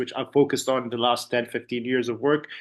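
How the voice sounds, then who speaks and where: Speaking very fast in a monotone, flat intonation, a man with an Arabic accent holds a medium pitch. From UAE. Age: 30s. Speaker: language student and entrepreneur. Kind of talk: testimonial interview. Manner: casual, halting with many fillers and repeats.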